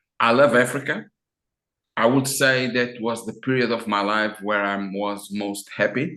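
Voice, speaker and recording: Fairly slow speech from a man in an Azorean accent, bright and sharp in tone, with fairly even intonation. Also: medium pitch for a man. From Azores, Portugal. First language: Portuguese. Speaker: business consultant. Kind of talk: interview. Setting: video call.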